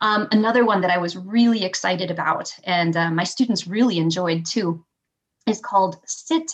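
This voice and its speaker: A normal speaking voice from a woman with an American accent, medium pitch, ordinary pitch variation and a fairly slow pace. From Michigan, Kalamazoo. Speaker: elementary school teacher. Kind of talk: casual interview chat.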